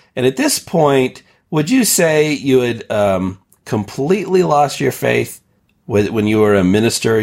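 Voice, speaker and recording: His pitch moves through very wide swings. The man keeps a moderate pace. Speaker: podcast host. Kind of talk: casual chat.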